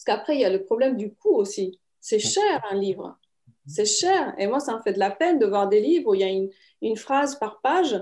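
A woman speaks with a Romanian accent in a dark, mellow tone. Her pitch swings very widely at a moderate pace. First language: Romanian (speaking French). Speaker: writer and publisher. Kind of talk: interview. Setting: video call.

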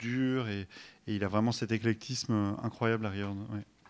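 A man talks at a medium pitch. His intonation is flat and monotone. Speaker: DJ and author. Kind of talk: casual interview. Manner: halting, many repetitions.

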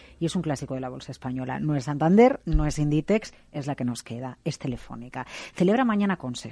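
A woman's dark, mellow voice with lively intonation at a moderate pace, dry and close with no echo, over a quiet background. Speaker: radio host. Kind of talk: radio interview.

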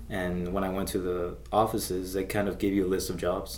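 The speaker has an American accent and some vocal fry. The delivery moves at a fairly quick pace. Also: man. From Las Vegas, US. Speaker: army combat medic, veteran. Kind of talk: interview. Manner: hesitant, many fillers.

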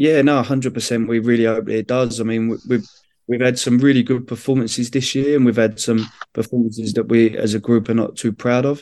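In a London accent, a man speaks with a dark, mellow tone and monotone, flat intonation. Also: medium pitch for a man, moderate pace. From London, England. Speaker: women's football manager, former footballer. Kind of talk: interview.

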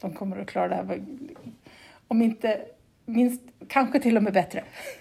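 There is vocal fry in this woman's medium-pitched voice. Her tone is dark and mellow. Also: long, frequent pauses, big swings in loudness. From Sweden, Gotland. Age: 40s. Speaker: cement plant manager, geologist. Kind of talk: interview. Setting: remote call. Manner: halting, many repetitions.

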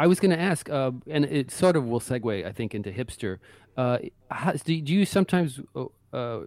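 With an American accent, a man speaks at a moderate pace in an unremarkable speaking voice with lively intonation, on a very clean recording with a silent background. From Brooklyn, New York. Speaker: author, writer. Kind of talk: casual interview.

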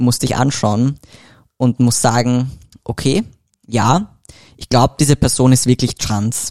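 The man has a dark, mellow tone. He talks in a medium pitch. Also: dry, close sound with no echo. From Austria, Vienna. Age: 20s. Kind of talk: podcast interview. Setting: studio, in person.

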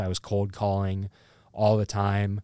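A man with a Midwestern American accent speaks at a fairly low pitch, the sound dry and close with no echo on a very clean recording with a silent background. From Iowa, Burlington. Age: 20s. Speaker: comedian. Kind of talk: casual chat.

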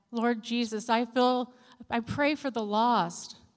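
A normal speaking voice, a woman's, fairly high in pitch with fairly even intonation. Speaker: church board member sharing testimony and praying. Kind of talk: testimony and fervent prayer. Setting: church.

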